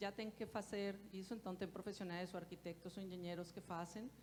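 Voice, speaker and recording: A woman with a Colombian accent, medium in pitch and monotone and flat in intonation, over noticeable background noise. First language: Spanish (speaking Portuguese). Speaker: architect. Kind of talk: panel discussion.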